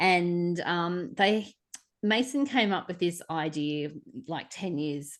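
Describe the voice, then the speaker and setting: This is a woman speaking with an Australian accent. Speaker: podcast co-host. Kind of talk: casual book discussion. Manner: hesitant, many fillers.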